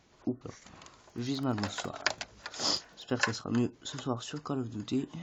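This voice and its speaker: The delivery is fairly slow, broken by long, frequent pauses. Noticeable background noise runs underneath. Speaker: gaming YouTuber. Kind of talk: tutorial. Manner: hesitant, many fillers.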